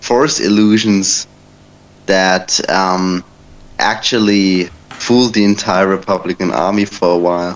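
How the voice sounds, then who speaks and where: A man with a German accent talks at a fairly slow pace in a fairly low register. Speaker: debate participant. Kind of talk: casual debate. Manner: halting, many fillers.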